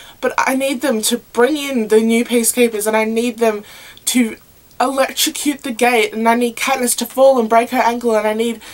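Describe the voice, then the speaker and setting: A woman with a high, flat, monotone delivery speaks at a moderate pace against noticeable background noise. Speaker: video blogger. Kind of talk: casual vlog monologue.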